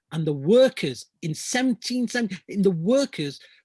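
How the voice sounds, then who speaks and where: A man with a Lancashire accent, high-pitched with very wide pitch swings, at a moderate pace, in a dry, close sound with no echo. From Lancashire, northern England. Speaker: climate justice activist. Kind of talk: Q&A answers in an online talk. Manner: halting, many repetitions.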